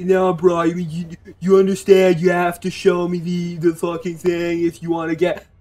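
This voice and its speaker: A man puts on a character voice with an American accent, pitched high. He speaks at a moderate pace in a monotone, flat intonation. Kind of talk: casual, slangy.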